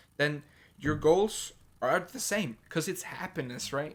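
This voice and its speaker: A man's fairly high-pitched voice at a moderate pace, with lively intonation. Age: 20s. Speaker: gaming youtuber. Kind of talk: casual rant to camera. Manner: animated.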